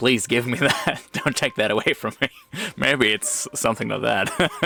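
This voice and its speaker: Background noise is noticeable. The delivery comes at a moderate speed. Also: man. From Germany. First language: German. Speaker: reaction YouTuber. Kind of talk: reaction commentary.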